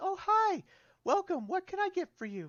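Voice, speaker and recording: A breathy, put-on character voice from a man, extremely high in pitch, at a moderate pace. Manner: welcoming.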